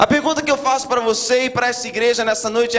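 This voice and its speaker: Amid audible room echo and noticeable background noise, a man speaks at an extremely high pitch. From Brazil, raised in US from childhood. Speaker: guest preacher. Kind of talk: sermon. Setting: church.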